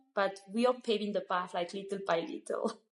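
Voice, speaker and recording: A woman speaks with a Malagasy accent. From Madagascar. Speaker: Montessori school founder. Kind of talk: interview. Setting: studio. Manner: halting.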